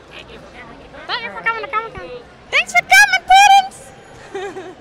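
An extremely high-pitched, put-on character voice speaks at a fairly slow pace. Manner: pretend talking puppet voice.

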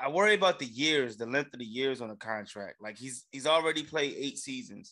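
The speaker is a man. The background is quiet. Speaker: sports podcast co-host. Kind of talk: casual banter. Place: home room. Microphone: studio mic.

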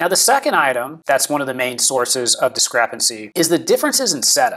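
A very fast-talking man. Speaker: presenter. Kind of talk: tutorial. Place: office. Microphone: lapel.

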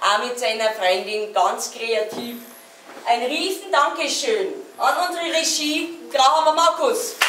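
Amid noticeable background noise, a woman with a high pitch speaks at a very slow pace. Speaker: host giving closing thanks. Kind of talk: closing speech to audience. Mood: warm, grateful, slightly flustered. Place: stage. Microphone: camera far.

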